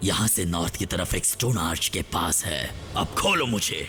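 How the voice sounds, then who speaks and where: A man's put-on character voice, very deep and low, at a moderate pace with clear background noise. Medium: fan dub. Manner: boastful, sneering.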